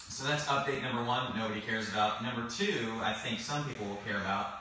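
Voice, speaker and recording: A man talks at a very fast pace with ordinary pitch variation. Strong room echo and light background noise are heard. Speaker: podcast co-host. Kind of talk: casual podcast chat. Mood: playful, joking. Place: office.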